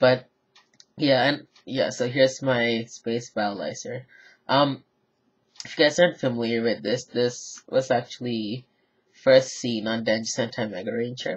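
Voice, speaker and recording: A man's somewhat breathy voice at medium pitch, with fairly even intonation and a fairly slow pace. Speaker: toy reviewer. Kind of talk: product review. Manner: flat, low energy; hesitant, filler words.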